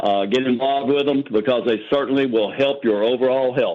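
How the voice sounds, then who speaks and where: A man talks at a moderate pace and a medium pitch. His intonation stays fairly even. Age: 60s. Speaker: testimonial giver on sales call. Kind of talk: testimony.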